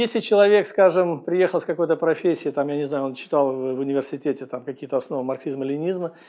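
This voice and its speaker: Over a quiet background, a man with a dark, mellow tone talks at a very fast pace with ordinary pitch variation. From Russia. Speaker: real estate agent; immigrant vlogger answering questions. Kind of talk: vlog monologue. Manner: hesitant, filler-heavy. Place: studio. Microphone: lapel.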